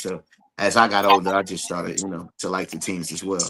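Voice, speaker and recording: The speaker talks at a very fast pace. The accent is New Jersey. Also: man. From New Jersey (East Orange). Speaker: podcast guest. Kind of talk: casual chat. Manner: casual, some hesitations.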